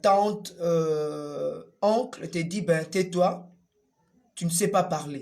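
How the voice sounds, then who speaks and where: A man speaks at a very slow pace. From DR Congo. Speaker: puppeteer and storyteller. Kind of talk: interview testimony. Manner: hesitant with fillers.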